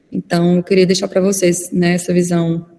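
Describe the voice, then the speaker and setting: The woman's pitch sits in the medium range. She speaks at a moderate pace with monotone, flat intonation. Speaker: physician and lecturer. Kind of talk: online lecture.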